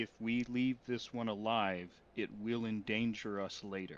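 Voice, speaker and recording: A man's put-on character voice, medium in pitch, fairly slow and monotone with flat intonation. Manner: serious, grave.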